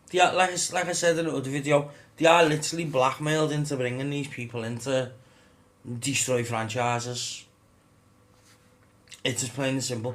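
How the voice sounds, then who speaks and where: There is audible room echo around a man with a medium pitch. He leaves long, frequent pauses. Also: ordinary pitch variation. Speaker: gaming YouTuber. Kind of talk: casual rant to camera. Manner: halting, stumbling over words.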